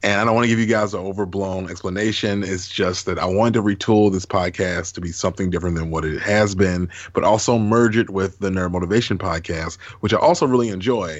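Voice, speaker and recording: Hardly any pauses break up the speech. It moves at a very fast pace. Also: man, fairly low pitch for a man. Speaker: podcast host. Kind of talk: casual chat. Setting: video call. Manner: animated.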